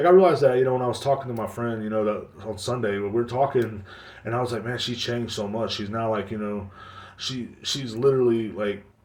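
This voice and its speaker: Someone with an American accent speaks at a very fast pace over audible room echo. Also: man, medium pitch for a man. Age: 30s. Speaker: podcast host. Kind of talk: casual monologue. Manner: animated.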